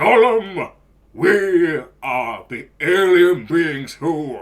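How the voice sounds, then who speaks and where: A man puts on a character voice, pitched high. He speaks at a very slow pace. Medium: audio drama. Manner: booming, stern.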